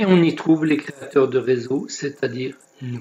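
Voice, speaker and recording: Very slowly, a man speaks, his intonation lively. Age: 70s. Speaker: network marketing recruiter. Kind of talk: sales pitch.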